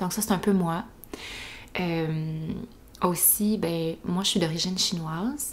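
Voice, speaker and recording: A woman with a Quebec accent speaks at a very slow pace in a fairly low, somewhat breathy voice. Her pitch variation is ordinary. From Quebec, east Montreal. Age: 20s. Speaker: podcast host. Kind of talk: casual monologue.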